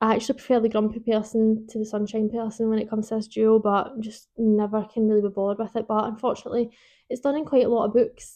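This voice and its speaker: In a Scottish accent, a woman with a fairly high pitch speaks very fast in a monotone, flat intonation. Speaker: book vlogger. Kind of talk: casual chat. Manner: rambling, informal.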